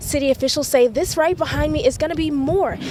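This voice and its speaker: A woman talks very fast as noticeable noise fills the background. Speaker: local TV news reporter and anchor. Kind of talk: news package stand-up / voiceover.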